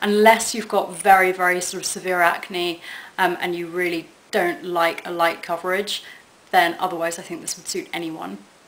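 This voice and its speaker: A woman's medium-pitched voice, flat and monotone, at a fairly quick pace over noticeable background noise. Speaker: beauty vlogger. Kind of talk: product review vlog. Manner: fast.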